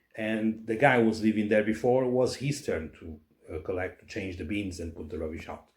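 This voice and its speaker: With a Portuguese accent, the voice is somewhat breathy and moves at a fairly quick pace with ordinary pitch variation. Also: man, fairly low pitch for a man. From Portugal. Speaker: person on probation. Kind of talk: casual conversation. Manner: halting.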